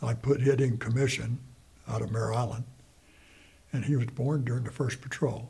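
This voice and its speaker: This man has an American accent and a medium pitch, with vocal fry in his voice. He talks at a fairly quick pace with fairly even intonation. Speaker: Vietnam War veteran. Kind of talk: elder life story, recalling war memories in an unedited interview. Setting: interview. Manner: rambling, halting, repeating phrases as he recalls; plainspoken, matter-of-fact, conversational.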